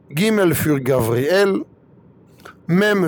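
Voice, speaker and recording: Over noticeable background noise, a man with a high pitch speaks at a very slow pace with lively intonation. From Israel. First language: Hebrew (speaking German). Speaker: rabbi. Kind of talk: religious talk.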